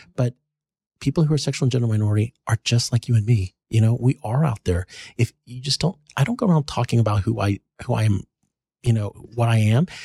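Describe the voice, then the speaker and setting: With an American accent, a man speaks at a very fast pace in a dark, mellow, somewhat breathy tone at medium pitch, with ordinary pitch variation and a dry, close sound with no echo. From North Texas. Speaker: pediatrician. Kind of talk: interview.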